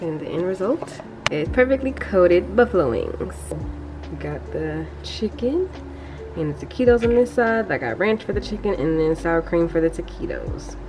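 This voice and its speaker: A woman keeps a moderate pace with clear music in the background. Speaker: vlogger. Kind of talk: casual vlog chat.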